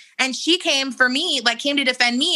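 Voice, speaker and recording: A woman's high, animated voice in a Californian accent, fairly quick in pace, over noticeable background noise. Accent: Californian American English. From San Diego, California. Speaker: model and influencer. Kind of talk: interview conversation.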